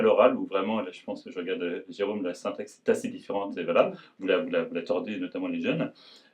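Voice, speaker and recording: Speaking at a fairly quick pace, a man is heard. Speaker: publisher. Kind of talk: presentation to an audience. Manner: halting, many repetitions and hesitations.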